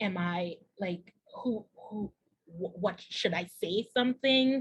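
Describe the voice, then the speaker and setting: The woman's voice is somewhat breathy, at medium pitch with ordinary pitch variation. She talks very slowly. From Trinidad and Tobago. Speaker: entrepreneur, diversity and inclusion consultant. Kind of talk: interview answer.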